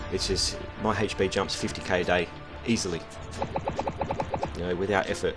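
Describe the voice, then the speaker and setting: The speech moves at a fairly quick pace with long, frequent pauses. Loud music plays in the background. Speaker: mobile game player. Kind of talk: casual gameplay commentary. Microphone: headset.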